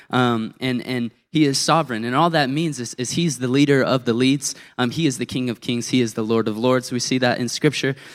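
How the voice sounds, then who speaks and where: On a very clean recording with a silent background, a man with an unremarkable speaking voice speaks at a moderate pace and medium pitch, with fairly even intonation. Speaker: youth intern. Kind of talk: sermon. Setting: church.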